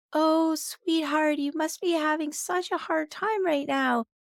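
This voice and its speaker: A put-on character voice at a fairly slow pace. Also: female-sounding voice, extremely high pitch for a woman. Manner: soothing, sympathetic.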